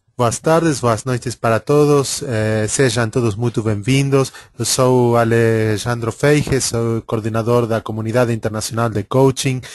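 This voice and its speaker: Speaking at a fairly slow pace with hardly any pauses, a man with an Argentine accent holds a medium pitch and fairly even intonation. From Argentina. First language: Spanish (speaking Portuguese). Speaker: webinar coordinator and moderator. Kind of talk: webinar introduction. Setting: online webinar. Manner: halting, many fillers.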